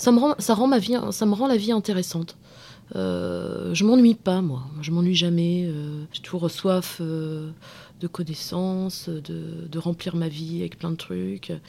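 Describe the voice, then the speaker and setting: A woman talks at a very slow pace, her fairly low voice dark and mellow in tone. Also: lively intonation. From provincial France, small town. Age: 30s. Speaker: podcast interviewee. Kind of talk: personal testimony interview. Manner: hesitant, many fillers and repetitions.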